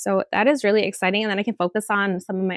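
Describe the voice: The speech moves at a fast pace, recorded with a dry, close sound and no echo. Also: woman.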